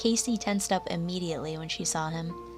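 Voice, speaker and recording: Over background music, a woman talks at a moderate pace, her fairly low pitch rising and falling in an ordinary way. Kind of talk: horror story narration.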